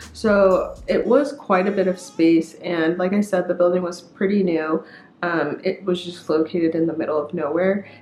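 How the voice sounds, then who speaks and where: A woman with a fairly low voice speaks at a moderate pace, her pitch varying in an ordinary way, while noticeable noise sounds behind her. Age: 20s. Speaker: YouTuber. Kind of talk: casual vlog talk.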